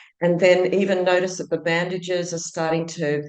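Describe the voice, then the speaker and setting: A woman's voice with an Australian accent. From Australia, Sydney. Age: 60s. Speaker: entrepreneur and teacher. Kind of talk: podcast interview.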